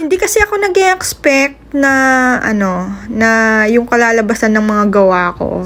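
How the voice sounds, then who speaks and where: A woman's animated tone rises and falls in very wide pitch swings. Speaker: cake baker vlogger. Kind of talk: vlog voice-over. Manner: energetic.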